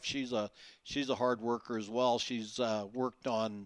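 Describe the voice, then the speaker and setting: Recorded very cleanly against silence, with a dry, close sound and no echo, a man talks at a moderate pace and medium pitch. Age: 60s. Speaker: author and salesman. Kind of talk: interview. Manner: halting, many fillers.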